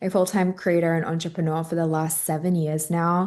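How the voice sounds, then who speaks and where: A woman's fairly low, monotone, flat voice with an Australian accent against a quiet background. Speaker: influencer and entrepreneur. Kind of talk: online summit talk.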